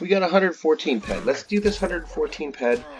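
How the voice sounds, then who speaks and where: A man talks at a very fast pace with very wide pitch swings. There is noticeable background noise. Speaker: gaming youtuber. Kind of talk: gameplay commentary. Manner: casual, hesitant.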